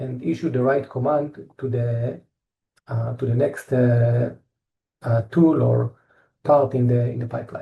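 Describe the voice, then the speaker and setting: A man with an Israeli accent talks at a fairly slow pace with long, frequent pauses, his somewhat breathy voice dark and mellow and his intonation fairly even. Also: medium pitch for a man. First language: Hebrew. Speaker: engineer presenting company products. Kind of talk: technical presentation. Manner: halting, many fillers and repetitions.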